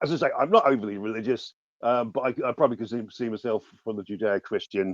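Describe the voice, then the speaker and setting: A man with a southern English accent speaks very fast at medium pitch with ordinary pitch variation, the sound dry and close with no echo over a quiet background. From southern England, Ascot in Berkshire. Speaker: journalist. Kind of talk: debate. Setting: online audio space. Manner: halting, many repetitions and false starts.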